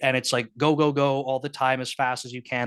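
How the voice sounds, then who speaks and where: Speaking fairly quickly at a medium pitch, a man with a slight Canadian accent is heard over a quiet background. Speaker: software engineering manager. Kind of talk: casual talk at online meetup. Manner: casual, many filler words.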